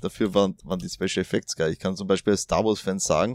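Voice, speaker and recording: A man's voice comes through dry and close with no echo. The recording is very clean, with a silent background. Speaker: podcast host. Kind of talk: casual chat. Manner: hesitant, many fillers.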